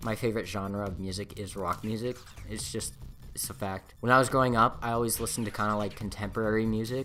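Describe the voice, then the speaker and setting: Over background music, a man talks very fast in a fairly low pitch. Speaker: YouTuber. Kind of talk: casual get-to-know-me vlog. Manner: animated.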